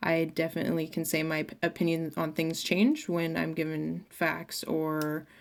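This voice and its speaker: A woman talks at a moderate pace. Her voice sits fairly low. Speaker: student presenting a class project. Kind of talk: class presentation. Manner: loud; hesitant with fillers.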